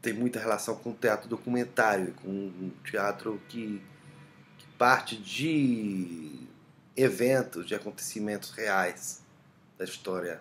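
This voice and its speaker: Very slow speech comes with pitch that varies in an ordinary way. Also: man. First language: Spanish (speaking Portuguese). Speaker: playwright. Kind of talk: self-interview about own play. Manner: halting, many fillers.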